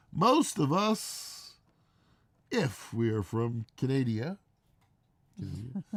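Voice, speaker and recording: Somewhat breathy, a man with an American accent talks with lively intonation. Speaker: homesteading vlogger. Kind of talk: live stream chat.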